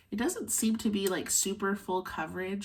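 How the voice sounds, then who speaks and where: In an American accent, a woman speaks at a moderate pace and medium pitch, somewhat breathy, with ordinary pitch variation. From Arizona. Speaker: beauty YouTuber. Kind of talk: makeup tutorial chat. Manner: casual, filler words.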